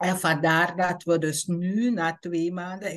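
Very slowly, a woman speaks at a fairly low pitch with fairly even intonation. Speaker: presenter. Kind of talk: online bible study talk. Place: home room. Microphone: video call.

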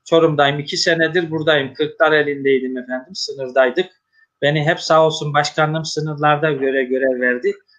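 A plain, everyday voice from a man, fairly high in pitch, at a moderate pace with fairly even intonation. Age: 50s. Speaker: mosque musician and religious official, interview host. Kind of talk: religious interview talk. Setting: online live broadcast.

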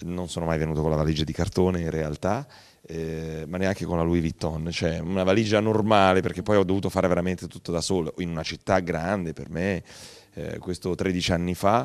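Against a quiet background, a man with a very deep, low pitch talks at a fairly quick pace and with fairly even intonation. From Italy, Apulia (Cerignola). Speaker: TV and radio presenter, actor, author. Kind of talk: interview. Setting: studio. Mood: warm, reflective, earnest. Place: studio. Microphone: handheld.

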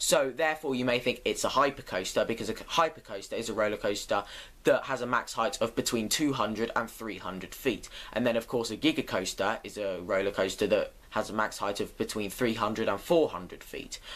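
With ordinary pitch variation, a man speaks at a moderate pace. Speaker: roller coaster fan vlogger. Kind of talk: casual vlog chat. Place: home room. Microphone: webcam.

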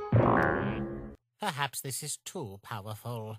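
Loud music plays behind a man doing a put-on character voice at medium pitch, very slow in pace, with very wide pitch swings. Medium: dub. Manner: upbeat, theatrical.

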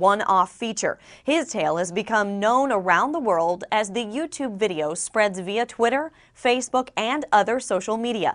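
With a plain, everyday voice, a woman talks fairly quickly at a fairly high pitch with lively intonation over a quiet background. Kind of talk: news report narration.

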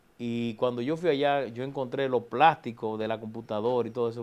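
At a moderate pace, a man is talking. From Dominican Republic, Santo Domingo; Dominican Republic. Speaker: government official and politician; politician. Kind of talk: TV interview. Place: studio. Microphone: lapel.

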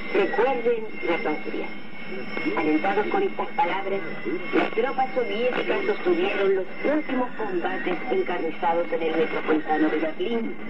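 Speech comes at a fairly slow pace. Loud background noise is present throughout. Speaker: radio announcer. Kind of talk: 1980s shortwave radio news bulletin and talk, formal scripted reading. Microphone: old recording.

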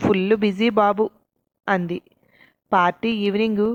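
A natural reading voice with fairly even intonation comes over a quiet background.

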